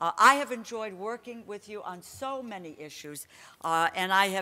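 A woman speaks with a bright, sharp tone and ordinary pitch variation. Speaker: conference speaker. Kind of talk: speech. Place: hall. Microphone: podium.

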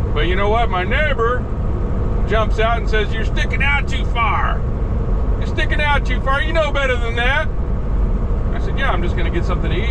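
A man speaks at a fairly quick pace against loud background noise. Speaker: truck driver. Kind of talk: angry late-night rant mocking rookie truckers. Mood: annoyed, ranting. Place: car. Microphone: camera far.

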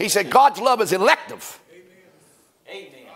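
A man's animated voice at an extremely high pitch. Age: 50s. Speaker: pastor. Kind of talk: sermon. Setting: church. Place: church. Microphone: lapel.

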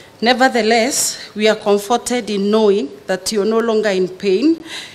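Lively intonation from a woman speaking. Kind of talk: eulogy reading. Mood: grieving, emotional. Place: hall. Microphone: podium.

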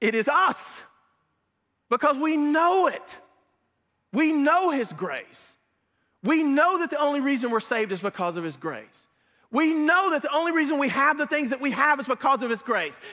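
Over a quiet background, a man projects a raised voice with a bright, sharp tone, very wide pitch swings, long and frequent pauses, and a moderate pace. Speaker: preacher. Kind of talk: sermon. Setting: church. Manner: earnest, conversational preaching with frequent hesitations and self-repeats; exhortative, pastoral, warmly encouraging. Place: church. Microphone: lapel.

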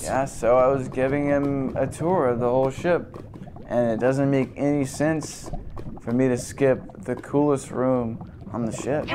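In a put-on character voice, the speaker drawls at a moderate pace with a relaxed tone against clear background noise. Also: man, medium pitch for a man. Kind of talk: deadpan comedy sketch. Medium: comedy sketch. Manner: relaxed, drawling, slangy.

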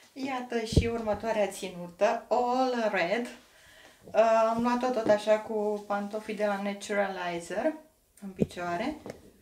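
A woman with a fairly high pitch speaks at a very slow pace against noticeable background noise. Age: 40s. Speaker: fashion vlogger. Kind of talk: fashion haul vlog. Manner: enthusiastic. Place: home room. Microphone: camera far.

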